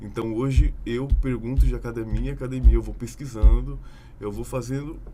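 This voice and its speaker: A man at a moderate pace, with audible room echo. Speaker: podcast guest. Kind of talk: casual podcast discussion.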